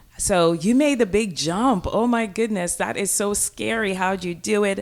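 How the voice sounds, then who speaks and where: With an American accent, a woman speaks at a fairly slow pace and medium pitch. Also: ordinary pitch variation. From rural Jamaica. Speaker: business coach and entrepreneur. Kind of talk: interview.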